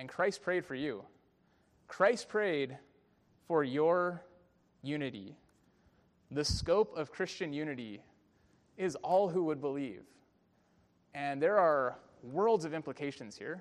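In a Californian accent, the speaker talks very slowly with long, frequent pauses. The intonation is lively. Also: man, fairly high pitch for a man. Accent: Californian American. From US, San Francisco Bay Area. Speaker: pastor. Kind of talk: sermon. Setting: church.

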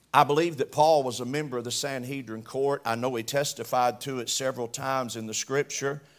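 The speaker has a Southern US accent. The delivery moves at a moderate pace. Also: man. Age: 60s. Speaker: preacher. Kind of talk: sermon.

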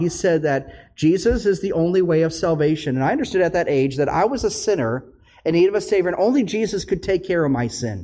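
High-pitched male voice with an Upper Midwest accent, lively intonation and a fairly quick pace. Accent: Upper Midwest American. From US Midwest, northern Minnesota. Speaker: pastor. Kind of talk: sermon.

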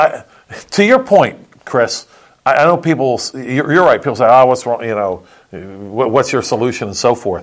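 A man with an ordinary speaking voice and lively intonation talks at a moderate pace, his pitch medium. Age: 60s. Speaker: pastor. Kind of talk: casual political discussion.

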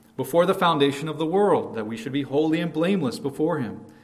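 Lively intonation marks this man's speech, with audible room echo around it. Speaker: pastor. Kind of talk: sermon.

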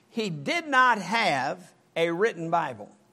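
The voice is raised and projected, bright and sharp in tone, with very wide pitch swings. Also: man. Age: 70s. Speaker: pastor. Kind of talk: sermon. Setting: church.

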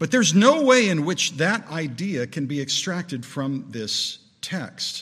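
Using an American accent, a man talks at a fairly slow pace in a high pitch, his voice making very wide pitch swings. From Southern California. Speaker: preacher. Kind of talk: sermon. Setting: church.

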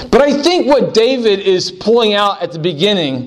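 A man talks at a fairly slow pace with lively intonation. Noticeable background noise is present. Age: 40s. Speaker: pastor. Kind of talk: sermon.

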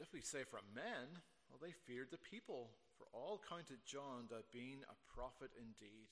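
What we get here is plain reading aloud.

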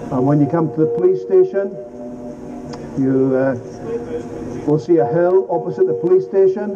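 A man speaks at a moderate pace with a fairly high pitch and lively intonation, leaving long, frequent pauses. Music plays in the background. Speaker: street preacher. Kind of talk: open-air street sermon, earnest gospel appeal. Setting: outdoors on a city street. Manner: urgent, exhorting, direct.

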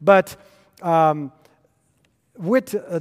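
A man speaks very slowly with a French Canadian accent. His intonation is lively. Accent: French Canadian, apologizes for pronunciation. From Quebec. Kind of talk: lecture. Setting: conference stage with audience. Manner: halting, many fillers.

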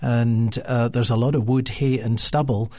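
A somewhat breathy voice in an Edinburgh accent, monotone and flat in intonation, at a moderate pace. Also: man. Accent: Scottish (Edinburgh). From Scotland, Edinburgh. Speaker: pastor. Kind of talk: roundtable discussion.

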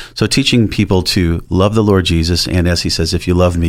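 At a fairly quick pace, a man with an American accent speaks in a very deep, low pitch and with fairly even intonation. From US Northeast, Rochester, New York. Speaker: pastor. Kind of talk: radio interview.

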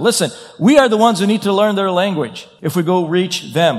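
The speech moves at a fairly quick pace with ordinary pitch variation, heard through audible room echo and noticeable background noise. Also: man. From Brazil. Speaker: pastor. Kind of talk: sermon.

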